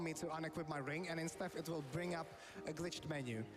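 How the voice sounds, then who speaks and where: A man with a non-native accent talks at a very fast pace with a fairly high pitch and ordinary pitch variation. Noticeable background noise runs under him. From Europe. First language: not English. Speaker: video game streamer. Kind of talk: live gameplay commentary.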